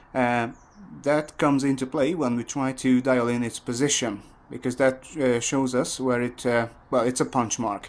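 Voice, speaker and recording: At a moderate pace, a man speaks in a monotone, flat way at a medium pitch. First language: not English. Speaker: motorcycle mechanic. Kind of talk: tutorial. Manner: halting, many fillers.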